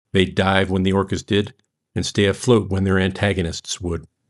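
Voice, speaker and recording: A man with an American accent and a very deep, low pitch speaks at a moderate pace. The recording is very clean, with a silent background. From United States. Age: 50s. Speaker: author. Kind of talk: reading aloud.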